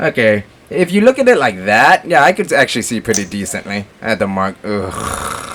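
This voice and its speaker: A man speaks in an animated tone with very wide pitch swings, over noticeable background noise. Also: medium pitch for a man, moderate pace. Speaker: gaming and movie reviewer. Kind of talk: casual chat.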